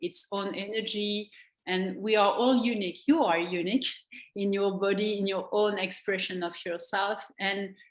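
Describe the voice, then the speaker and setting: A woman speaks at a fairly slow pace with a French accent. Her medium pitch carries fairly even intonation. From France. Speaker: NLP trainer and coach. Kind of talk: interview. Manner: halting.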